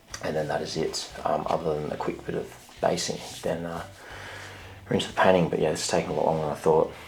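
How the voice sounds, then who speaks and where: A quiet man speaks at a very fast pace broken by long, frequent pauses, with audible room echo. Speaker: miniature painting youtuber. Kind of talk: casual vlog narration. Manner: quiet, hushed late at night; hesitant with many fillers.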